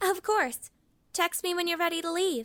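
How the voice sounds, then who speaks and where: A put-on character voice, squeaky and extremely high-pitched, with a cheerful tone and a moderate pace. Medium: audio drama. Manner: cheerful, casual.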